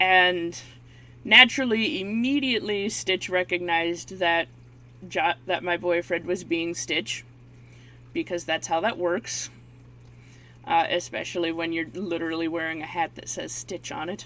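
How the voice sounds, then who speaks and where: Using a bright, sharp tone with ordinary pitch variation, a woman speaks at a fairly slow pace with long, frequent pauses. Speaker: YouTuber and painter. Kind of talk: casual chat. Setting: face cam video at home. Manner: loud when excited; halting.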